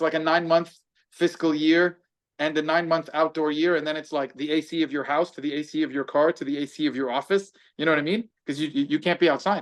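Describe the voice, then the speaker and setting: A man with an American accent speaks very fast at a fairly high pitch in a monotone, flat delivery against a quiet background. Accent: American-sounding. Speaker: businessman and barbecue chef. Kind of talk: casual chat.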